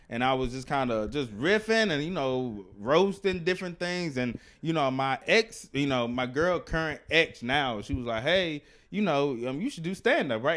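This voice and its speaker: A man talks in a normal speaking voice with a fairly high pitch. His intonation is lively and his pace fairly quick. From US South, Alabama. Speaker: stand-up comedian and activist. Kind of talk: casual interview chat.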